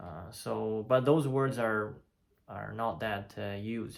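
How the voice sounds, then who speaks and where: The man's ordinary pitch variation comes through in a very clean recording with a silent background. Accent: Chinese. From China. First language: Chinese. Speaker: polyglot. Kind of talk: casual talk to camera. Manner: hesitant, many fillers.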